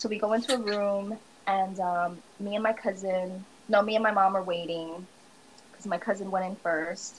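A woman with an ordinary speaking voice talks at a moderate pace, her medium pitch carrying fairly even intonation. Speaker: guest. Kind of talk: casual chat.

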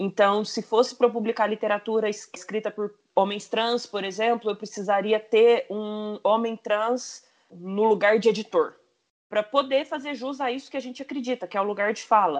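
An ordinary speaking voice from a woman, fairly high in pitch and fairly even in intonation, at a moderate pace with big swings in loudness. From São Paulo countryside, Franca. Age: 30s. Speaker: publisher. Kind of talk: casual chat.

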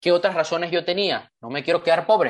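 Fairly quick and animated, a man speaks in a high voice. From Panama (born in Venezuela). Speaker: motivational speaker and author. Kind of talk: online training talk.

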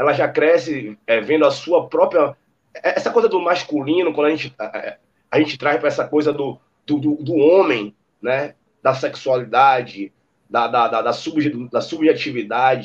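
Lively intonation runs through a normal speaking voice delivered at a fairly slow pace. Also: man. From Brazil, Salvador (Bahia). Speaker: musician. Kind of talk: casual chat.

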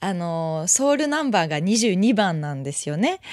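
A woman at a fairly slow pace, with a dry, close sound with no echo, in a very clean recording with a silent background. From France (Paris). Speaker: podcast host, singer-songwriter. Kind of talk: casual interview. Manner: halting.

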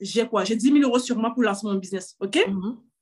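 A woman at a moderate pace. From Cameroon. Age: 30s. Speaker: fashion entrepreneur. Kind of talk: interview. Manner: halting.

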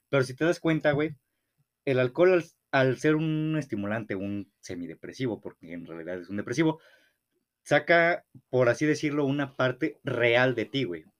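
A man's medium-pitched voice at a moderate pace, with lively intonation and big swings in loudness. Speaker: podcast co-host. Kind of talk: casual chat. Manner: stumbles over words.

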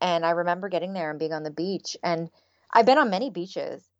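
A woman with a Canadian accent speaks at medium pitch and a fairly quick pace. She has a normal speaking voice with ordinary pitch variation. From Canada. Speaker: happiness researcher. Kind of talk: interview.

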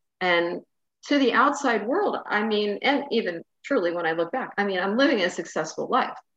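At a moderate pace, a woman talks in a plain, everyday voice, fairly high in pitch with lively intonation. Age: 50s. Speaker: spiritual mentor and podcast host. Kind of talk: casual interview chat.

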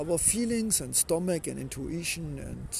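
A man talks with a German accent. His pace is fairly slow. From Germany. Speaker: inspirational podcaster. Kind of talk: motivational monologue.

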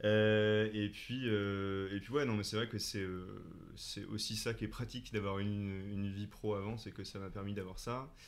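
Speaking at a fairly slow pace in a flat monotone, a man with a fairly low voice is heard with audible room echo. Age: 20s. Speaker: comedian and actor. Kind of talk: casual interview.

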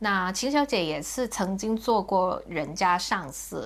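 This woman's voice sits at a medium pitch with ordinary pitch variation. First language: Cantonese (speaking Chinese). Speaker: podcast host. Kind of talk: casual chat.

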